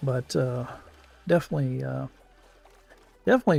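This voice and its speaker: Over music in the background, a man speaks at a fairly quick pace with a medium pitch. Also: dry, close sound with no echo. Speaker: gaming streamer. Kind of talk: casual live-stream commentary. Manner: halting, many fillers and repeats.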